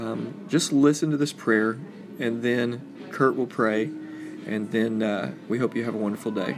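Music plays behind a man speaking at a fairly slow pace. His pitch is medium with ordinary variation. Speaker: podcast host and church leader. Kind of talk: reading aloud a prayer, then closing remarks. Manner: solemn, measured, reverent.

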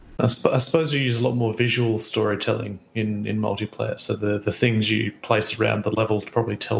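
A man talks at a fairly quick pace with hardly any pauses, over noticeable background noise. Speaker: podcast co-host. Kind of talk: casual chat. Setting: remote, far from co-host.

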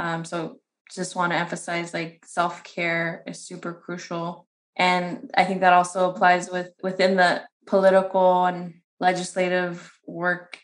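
A woman speaks at a fairly slow pace in a fairly low pitch. Her intonation is monotone and flat, with big swings in loudness. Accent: American. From San Bernardino, California. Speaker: community organizer and policy director. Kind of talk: interview.

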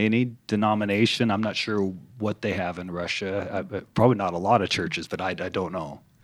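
With a normal speaking voice, a man talks at a moderate pace and a fairly low pitch. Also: very clean recording, silent background. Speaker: podcast host. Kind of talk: casual interview chat.

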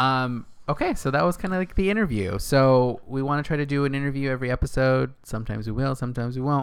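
A man with an American accent at a very fast pace, with hardly any pauses. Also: medium pitch for a man, ordinary pitch variation, very clean recording, silent background. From Northern California, Castroville. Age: 30s. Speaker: podcast co-host. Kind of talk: casual chat. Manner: laughs often.

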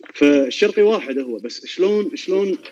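A man speaks with a Kuwaiti accent at a fairly slow pace. His intonation is lively. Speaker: violinist. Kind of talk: casual chat.

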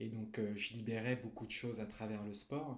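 Speaking at a fairly slow pace, a man uses fairly even intonation at a medium pitch. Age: 20s. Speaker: recovering alcoholic, author. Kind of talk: testimony. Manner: halting, many repetitions.

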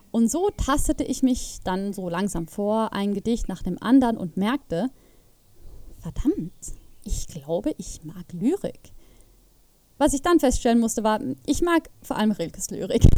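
Long, frequent pauses at a fairly slow pace, with a dark, mellow tone, very wide pitch swings and big swings in loudness. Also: woman, fairly high pitch for a woman. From Switzerland, Zurich. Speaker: podcast host. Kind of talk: casual monologue about literature.

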